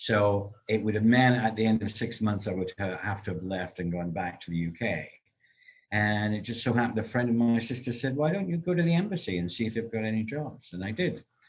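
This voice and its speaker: Fairly quick, lively speech from a man with a fairly low pitch and a Scottish accent. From Scotland, Glasgow. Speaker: actor and comedian. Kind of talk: interview about life story. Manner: conversational with frequent fillers.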